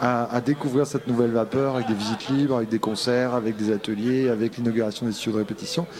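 Against noticeable background noise, a man talks at a very fast pace and a medium pitch, with fairly even intonation and very even loudness. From Brittany. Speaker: concert venue director. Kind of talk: interview. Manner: halting.

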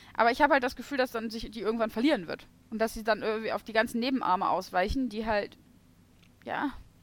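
Talking very fast, a woman with a fairly high voice shifts sharply between loud and soft. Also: ordinary pitch variation. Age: 20s. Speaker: podcast co-host. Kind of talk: casual chat.

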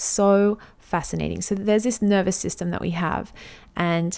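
A woman with an Australian accent speaks at medium pitch in a dark, mellow tone with fairly even intonation. The recording is very clean, with a silent background. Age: 30s. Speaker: podcast host. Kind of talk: solo podcast monologue.

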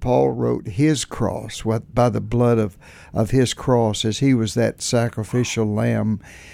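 A man talks with a dark, mellow tone at medium pitch. The pitch varies in an ordinary way. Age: old. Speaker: music director and worship instructor. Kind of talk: interview.

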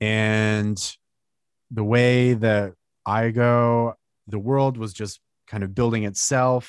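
A man speaks very slowly in an American accent, with long, frequent pauses and a medium pitch. His intonation is monotone and flat against a quiet background. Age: 30s. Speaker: comic book writer and artist. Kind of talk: interview. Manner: halting.

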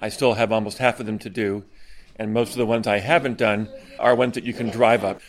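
This man has a plain, everyday voice at a medium pitch with fairly even intonation. The recording is very clean, with a silent background. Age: 60s. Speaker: retired doctor and cyclist. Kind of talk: casual speech at a party.

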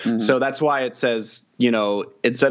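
A man with an American accent uses a normal speaking voice, medium pitch, ordinary pitch variation and a moderate pace. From Kansas City. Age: 20s. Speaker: video producer and journalist. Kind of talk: casual interview chat.

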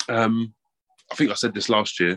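A man's fairly low voice with a fairly bright tone, fairly even intonation and a moderate pace, in a dry, close sound with no echo.

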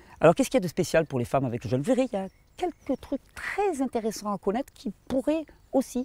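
The man's pitch swings very widely as he speaks at a very fast pace. His sound is dry and close, with no echo. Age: 40s. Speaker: health and fasting video creator. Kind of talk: informal video talk to viewers. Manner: hesitant with fillers and repetitions.

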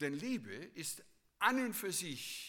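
A man speaks at a very slow pace in a bright, sharp tone with vocal fry and very wide pitch swings. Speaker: preacher. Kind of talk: sermon. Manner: earnest, teacherly preaching, repeating key phrases for emphasis.

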